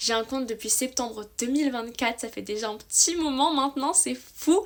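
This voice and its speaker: At a moderate pace, a woman speaks in a high pitch with an enthusiastic tone and ordinary pitch variation. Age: 20s. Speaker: book youtuber. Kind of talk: casual vlog monologue. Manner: chatty, enthusiastic.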